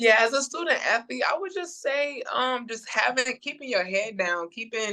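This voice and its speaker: A woman speaks loudly at a moderate pace. Her tone is bright and sharp. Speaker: college basketball player. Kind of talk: interview. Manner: energetic.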